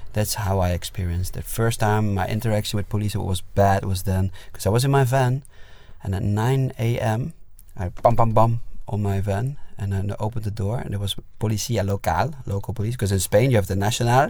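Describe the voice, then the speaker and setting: Somewhat breathy and dark, mellow in tone, a man speaks at a fairly quick pace and fairly low pitch with fairly even intonation. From Netherlands. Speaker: musician. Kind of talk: casual chat. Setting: inside a parked van.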